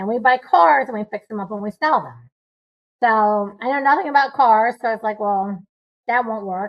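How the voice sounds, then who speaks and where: An unremarkable speaking voice at a moderate pace. Its pitch varies in an ordinary way. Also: woman. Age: 60s. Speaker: real estate investor. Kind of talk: interview.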